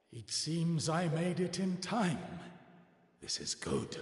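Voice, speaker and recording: A man's put-on character voice, high in pitch, at a fairly slow pace with a slight echo. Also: ordinary pitch variation. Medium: video game. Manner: grave, dignified.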